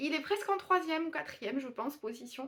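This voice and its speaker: Lively intonation marks a woman's speech, which moves at a moderate speed. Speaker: booktuber reviewing manga. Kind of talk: casual video review. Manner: mumbling, not clearly articulated.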